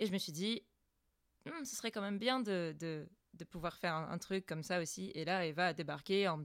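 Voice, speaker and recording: A woman speaks at a fairly low pitch with ordinary pitch variation and a moderate pace. The recording is very clean, with a silent background. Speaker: amateur voice actress. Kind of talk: casual chat.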